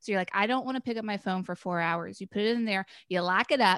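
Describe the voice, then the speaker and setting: Here is a woman with an ordinary speaking voice at a medium pitch and fairly even intonation. The sound is dry and close with no echo, on a very clean recording with a silent background. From North Carolina (Chapel Hill). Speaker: podcast guest. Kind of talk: casual chat.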